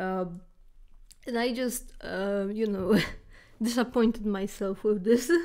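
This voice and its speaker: With a non-native accent, a woman reads fairly slowly at a fairly high pitch, her intonation fairly even and her pauses long and frequent. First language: not English. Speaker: storytelling vlogger. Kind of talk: casual storytime. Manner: halting, many fillers.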